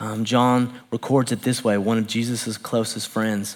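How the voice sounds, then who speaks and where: With a Southern US accent, a man talks at a fairly slow speed. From US South, Knoxville, Tennessee. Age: 40s. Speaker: pastor. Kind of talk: sermon. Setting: church.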